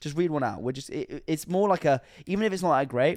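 On a very clean recording with a silent background, a man talks at a fairly quick pace. He has a British accent. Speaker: podcast host. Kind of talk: casual chat.

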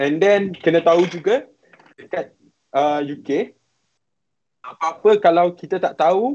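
Speaking with a high pitch, a man shows ordinary pitch variation. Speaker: university student studying abroad. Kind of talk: live-stream interview, sharing experience.

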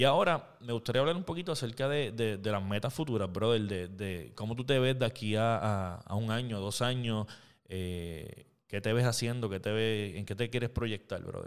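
With a Puerto Rican accent, a man talks at a moderate pace and medium pitch, his pitch varying in an ordinary way on a very clean recording with a silent background. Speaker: podcast host. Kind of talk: casual chat. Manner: animated.

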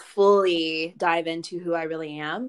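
A woman's fairly low voice, a normal speaking voice with ordinary pitch variation, against a quiet background. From Georgia, US. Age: 20s. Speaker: podcast host. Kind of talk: casual chat; scripted narration.

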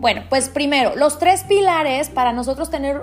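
A woman speaks with a high pitch and ordinary pitch variation. Noticeable background noise runs under her voice. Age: 40s. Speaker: life coach and podcast host. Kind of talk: motivational monologue. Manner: halting.

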